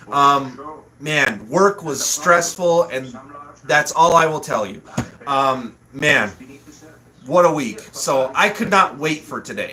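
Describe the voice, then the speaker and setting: Amid noticeable background noise, a man speaks at a very slow pace and fairly high pitch, with lively intonation, big swings in loudness, and long, frequent pauses. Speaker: livestream host. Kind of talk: casual livestream chat. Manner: animated.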